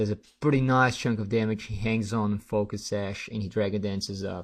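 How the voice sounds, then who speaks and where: A man at a fairly quick pace, with a non-native accent and a quiet background. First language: not English. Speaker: gaming commentator. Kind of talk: live commentary. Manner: halting; casual.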